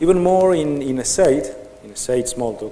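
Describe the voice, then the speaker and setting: Audible room echo surrounds a man with a Spanish accent who speaks with ordinary pitch variation. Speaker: software developer / conference speaker. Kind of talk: conference talk. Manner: slow; halting.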